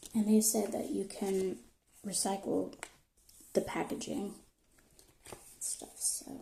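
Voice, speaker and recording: A soft-spoken woman with a medium pitch talks at a very slow pace, pausing long and often. Her loudness swings widely, while her pitch varies in an ordinary way. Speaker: product reviewer. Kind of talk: soft-spoken ASMR product review.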